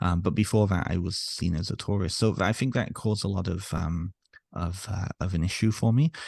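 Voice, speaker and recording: Somewhat breathy, the voice moves at a fairly quick pace over a quiet background. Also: man, very deep, low pitch for a man, ordinary pitch variation. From North Wales, English parents, then Canada from age eight. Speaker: author and therapist. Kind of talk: podcast interview. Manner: halting, many repetitions and fillers.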